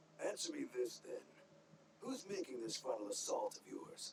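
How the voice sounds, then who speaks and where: A raspy, put-on character voice from a man at a moderate pace, with clear background noise. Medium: video game. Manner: gruff, wry.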